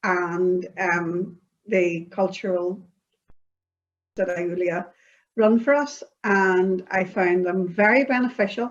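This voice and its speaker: With a Northern Irish accent, a woman talks at a fairly slow pace with fairly even intonation. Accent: Northern Irish (Belfast). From Northern Ireland, Belfast. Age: 60s. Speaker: interviewee, community project participant. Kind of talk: interview. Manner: halting, many fillers.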